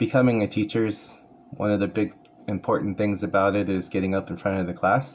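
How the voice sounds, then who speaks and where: Against light background noise, a man with a Californian accent speaks fairly quickly at a fairly low pitch with ordinary pitch variation. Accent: Californian American English. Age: 40s. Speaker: paraeducator and community college student; paraeducator. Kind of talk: class self-introduction speech. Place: home room. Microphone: phone near.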